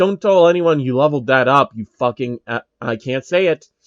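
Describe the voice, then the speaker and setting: A man's put-on character voice, medium in pitch, at a fairly quick pace. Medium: read story.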